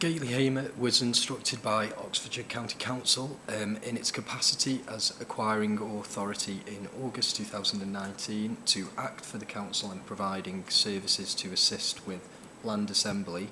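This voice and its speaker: Noticeable background noise under a fairly low male voice. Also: fairly even intonation, moderate pace, hardly any pauses. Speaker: expert witness, land surveyor. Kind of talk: testimony. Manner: formal. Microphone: too quiet, directional mics.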